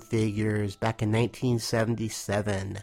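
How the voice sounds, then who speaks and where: Here is a man with an unremarkable speaking voice at medium pitch. He goes at a moderate pace. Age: 40s. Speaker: toy collector, listener. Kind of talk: recorded voice message.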